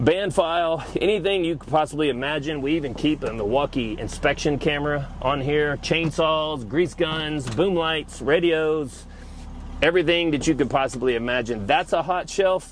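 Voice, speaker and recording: A man's unremarkable speaking voice, fairly high in pitch, at a moderate pace with ordinary pitch variation. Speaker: mobile tool truck dealer. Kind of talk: casual walkthrough tour.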